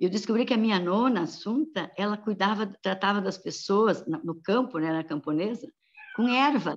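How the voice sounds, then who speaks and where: In a plain, everyday voice, a woman speaks at medium pitch with lively intonation. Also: moderate pace. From Santa Catarina, Brazil (São Lourenço do Oeste). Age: 60s. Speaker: pediatrician. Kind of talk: interview.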